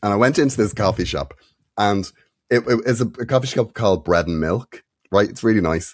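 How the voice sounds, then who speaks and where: Speaking very fast with an Irish accent, a man swings his pitch very widely on a very clean recording with a silent background. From Ireland. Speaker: comedian and podcast co-host. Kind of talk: casual chat. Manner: clear diction.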